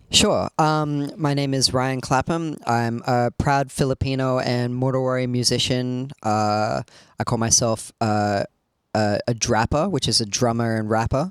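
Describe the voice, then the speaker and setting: This man has an Australian accent, medium pitch and ordinary pitch variation. The sound is dry and close, with no echo. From Sydney, Australia. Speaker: rapper and drummer. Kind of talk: interview.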